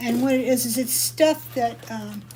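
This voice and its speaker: The voice is somewhat breathy with a dark, mellow tone, at a moderate pace. Audible room echo is present. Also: woman. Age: 60s. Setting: live video session from her workshop. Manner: casual, chatty.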